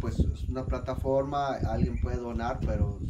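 The voice has a dark, mellow tone and ordinary pitch variation. Noticeable background noise runs behind it. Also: man. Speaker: charity vlogger. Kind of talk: casual vlog chat. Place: home room. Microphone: phone near.

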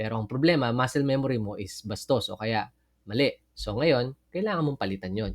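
Medium in pitch, a man with an ordinary speaking voice moves at a fairly quick pace with ordinary pitch variation. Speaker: Bible teacher. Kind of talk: Bible study lecture.

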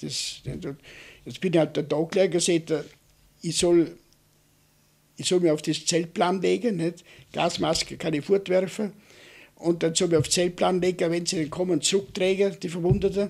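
With a Vorarlberg accent, a man with a high pitch speaks at a moderate pace with fairly even intonation and long, frequent pauses against a quiet background. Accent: Vorarlberg Alemannic dialect. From Austria, Vorarlberg. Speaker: war veteran. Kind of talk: oral history interview; interview answer, oral history recollection. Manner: halting, with repeated filler tags. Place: home room. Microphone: studio mic.

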